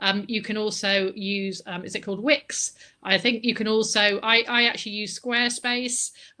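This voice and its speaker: A woman with a West Country accent, bright and sharp in tone, at a moderate pace. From Bristol, West Country England. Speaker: book marketing consultant. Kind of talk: online presentation with slides. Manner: energetic.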